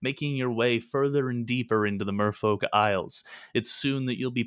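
The text is read aloud in a natural voice.

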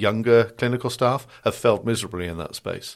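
In a British accent, a man speaks at a fairly quick pace on a very clean recording with a silent background. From Britain. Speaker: cybersecurity strategist. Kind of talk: interview.

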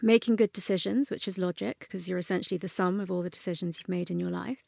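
A woman at a medium pitch speaks at a fairly quick pace, her voice dry and close with no echo on a very clean recording with a silent background. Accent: London. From North London, England. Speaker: neuroscientist and author. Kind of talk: interview.

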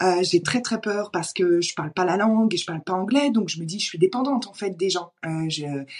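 In a plain, everyday voice, a woman talks at a medium pitch and a fairly quick pace with ordinary pitch variation and hardly any pauses. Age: 30s. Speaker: entrepreneur coach. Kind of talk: casual interview conversation.

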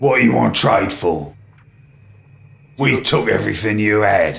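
Putting on a character voice, a man sounds raspy and fairly low as he speaks at a moderate pace. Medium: actual play. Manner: blunt, coarse, mocking.

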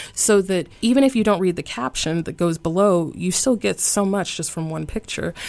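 In a plain, everyday voice, a woman with an American accent speaks at a moderate pace and fairly low pitch with lively intonation. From US South. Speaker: yoga teacher. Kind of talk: casual interview. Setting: radio studio.

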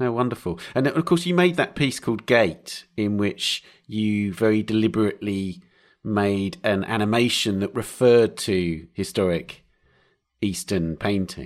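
A man with an unremarkable speaking voice talks at a fairly low pitch and a fairly slow pace with lively intonation, on a very clean recording with a silent background. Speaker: podcast host. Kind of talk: interview intro and narration.

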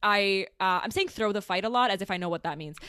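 A woman talks in a normal speaking voice at a fairly quick pace with ordinary pitch variation. The recording is very clean, with a silent background. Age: 20s. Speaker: podcast host. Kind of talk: casual chat.

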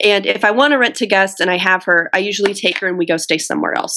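Speaking at a fairly quick pace, a woman has a normal speaking voice with a medium pitch and ordinary pitch variation. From US Midwest. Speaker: entrepreneur and Airbnb host. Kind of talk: interview.

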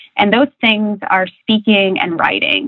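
A woman speaks at a moderate pace with a Midwestern American accent. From US Midwest (rural Ohio). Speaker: corporate coaching director. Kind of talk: interview.

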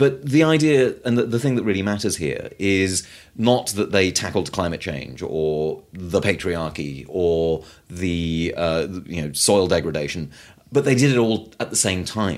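In a British accent, a man with a very deep, low pitch talks fairly slowly with very wide pitch swings, recorded very cleanly against a silent background. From Britain. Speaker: author and food activist. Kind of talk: interview. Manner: halting, with frequent repetitions.

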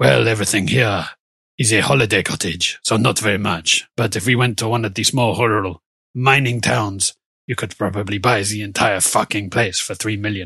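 A man's raspy put-on character voice, fairly low in pitch, at a moderate pace. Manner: deadpan.

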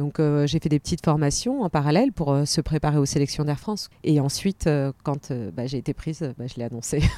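With a very deep, low pitch and a dark, mellow tone, a woman speaks fairly quickly with hardly any pauses and ordinary pitch variation, in a dry, close sound with no echo. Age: 40s. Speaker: flight attendant and personal development coach. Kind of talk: interview.

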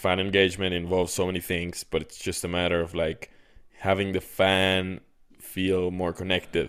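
A man talks at a moderate pace, his pitch very deep and low. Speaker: podcast host. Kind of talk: interview. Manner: energetic.

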